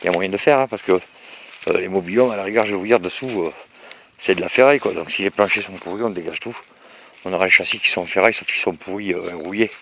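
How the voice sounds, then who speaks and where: Speech comes at a fairly quick pace. Its tone is bright and sharp, with ordinary pitch variation. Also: man. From Bordeaux, France. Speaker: vlogger. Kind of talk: casual property walkthrough video. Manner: hesitant, many fillers.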